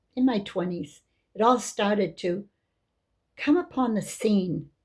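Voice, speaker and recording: A woman speaks at a medium pitch with lively intonation and a somewhat breathy quality. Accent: American. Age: 70s. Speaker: religious teacher. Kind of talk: religious talk.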